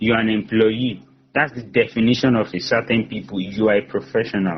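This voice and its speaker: A man at medium pitch with an American accent and vocal fry, talking at a fairly quick pace with ordinary pitch variation. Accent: slight Nigerian accent with American English. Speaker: career coach. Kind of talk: motivational talk. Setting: online event.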